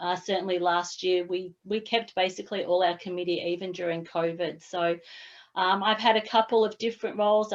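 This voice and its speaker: The voice belongs to a woman. An Australian accent marks her speech. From Australia, Lara, Victoria. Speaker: sports club committee member. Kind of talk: self-introduction in online workshop.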